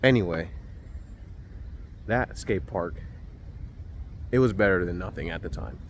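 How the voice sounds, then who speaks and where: With vocal fry and a very deep, low pitch, a man speaks at a moderate pace, his pitch swinging very widely between long, frequent pauses, with audible room echo around him. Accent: American. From New Jersey (Maplewood). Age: 30s. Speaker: skateboarder vlogger. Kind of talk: casual vlog narration. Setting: outdoors at skatepark. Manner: casual, hesitant with fillers.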